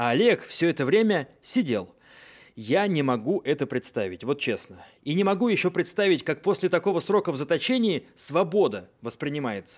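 Over a silent background in a very clean recording, a man with a fairly high pitch and vocal fry speaks at a moderate pace with very wide pitch swings. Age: 30s. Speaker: podcast host. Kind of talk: podcast intro narration.

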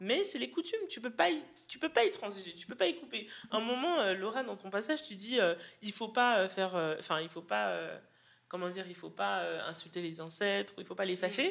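At a medium pitch and a fairly quick pace, a woman talks with lively intonation and vocal fry. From Western Europe, Cameroonian heritage. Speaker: poet. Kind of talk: public book club discussion. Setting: live venue with audience. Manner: hesitant, many repetitions.

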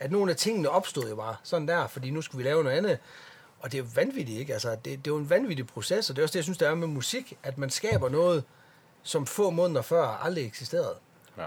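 Very fast delivery, somewhat breathy, with lively intonation. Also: man, fairly high pitch for a man. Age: 40s. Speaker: metal bassist. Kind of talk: casual chat.

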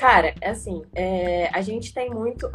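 Clear noise fills the background as the pitch moves in an ordinary way. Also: woman. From Brazil, Minas Gerais. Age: 20s. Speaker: traveler. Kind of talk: casual interview. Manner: animated.

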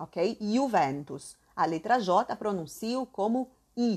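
The delivery sounds animated, with very wide pitch swings. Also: woman. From southern Brazil. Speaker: Italian language teacher. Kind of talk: online language class.

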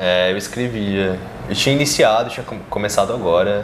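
With noticeable background noise and audible room echo, a man talks at a fairly quick pace and a fairly low pitch. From Brasília, Brazil. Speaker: adult content creator. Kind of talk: casual interview.

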